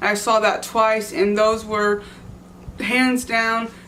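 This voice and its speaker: Over audible room echo, a woman with an American accent speaks in a fairly high, bright, sharp voice with fairly even intonation. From Texas. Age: 20s. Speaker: music vlogger. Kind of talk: casual vlog monologue. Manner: halting, with fillers and restarts.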